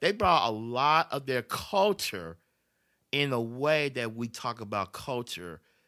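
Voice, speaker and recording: A man with a Memphis accent speaks at a fairly slow pace in a bright, sharp tone with very wide pitch swings. The recording is very clean, with a silent background. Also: medium pitch for a man. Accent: US Southern, Memphis. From Memphis, Tennessee. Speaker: podcast guest. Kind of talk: casual chat.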